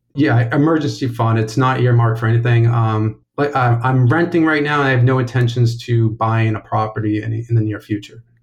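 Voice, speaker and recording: Somewhat breathy male voice of medium pitch, at a fairly quick pace with fairly even intonation. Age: 30s. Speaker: caller seeking money advice. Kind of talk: phone-in question.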